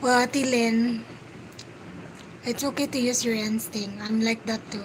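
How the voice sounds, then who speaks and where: A woman speaks quietly in a fairly high pitch with monotone, flat intonation. Her pace is fairly slow, with long, frequent pauses over noticeable background noise. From Philippines, Cebu. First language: Filipino language (Cebuano/Tagalog). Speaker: livestreamer. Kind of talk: casual chat. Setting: livestream.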